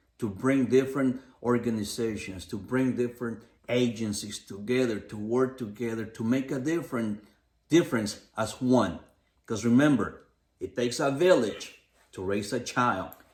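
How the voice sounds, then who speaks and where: Moderate pacing with an American accent and ordinary pitch variation. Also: man, medium pitch for a man. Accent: has an. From Los Angeles. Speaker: podcast co-host. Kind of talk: casual podcast chat.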